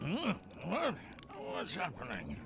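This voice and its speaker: A man uses a put-on character voice over clear background noise. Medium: video game. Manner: gruff, dismissive.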